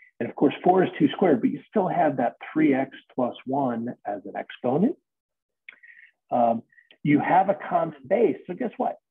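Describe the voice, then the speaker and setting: Very wide pitch swings mark a man's speech at a moderate pace. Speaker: math teacher. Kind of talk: tutorial. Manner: casual.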